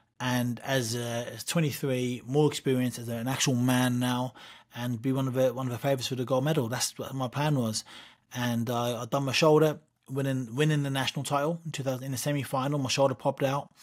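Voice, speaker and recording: With an East Anglian accent, a man talks fairly quickly at a medium pitch in a monotone, flat intonation. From east of England. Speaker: boxer and wrestler. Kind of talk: interview. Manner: repetitive, halting.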